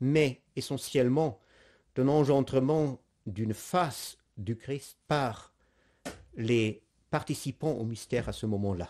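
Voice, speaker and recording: Pausing long and often, a man with a non-native accent speaks at a very slow pace. His medium-pitched voice has a dark, mellow tone and ordinary pitch variation. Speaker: priest giving catechesis. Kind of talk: lecture. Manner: halting, many hesitations.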